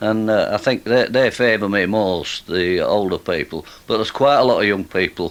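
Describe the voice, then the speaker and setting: A man talks at a moderate pace, his fairly low voice showing ordinary pitch variation. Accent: Yorkshire. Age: 70s. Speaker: street musician. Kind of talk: casual chat. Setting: radio studio. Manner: halting.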